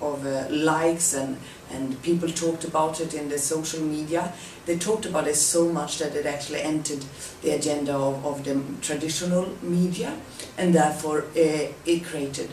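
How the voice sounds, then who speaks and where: A woman speaks in a very deep, low voice at a moderate pace, her intonation flat and monotone. Room echo is audible, and background noise is noticeable. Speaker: presenter. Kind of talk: presentation. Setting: self-recorded on camera.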